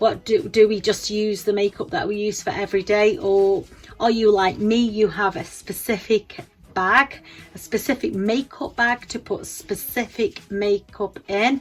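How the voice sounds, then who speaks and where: A woman talks at a fairly slow pace. Her fairly high pitch shows ordinary variation. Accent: English. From England. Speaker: beauty vlogger. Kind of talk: casual tutorial vlog. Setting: home bedroom. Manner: halting, many fillers and repeats.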